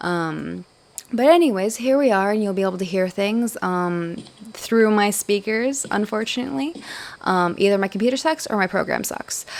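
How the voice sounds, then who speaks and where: A woman with a plain, everyday voice, medium pitch, lively intonation, and a moderate pace. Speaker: gaming video creator. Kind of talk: gameplay tutorial. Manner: casual with many fillers.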